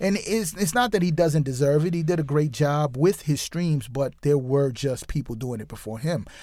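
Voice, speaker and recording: A man with an American accent speaks at a fairly high pitch in a dark, mellow tone with lively intonation, on a very clean recording with a silent background. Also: moderate pace. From US, New York City. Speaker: DJ. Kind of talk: casual interview chat.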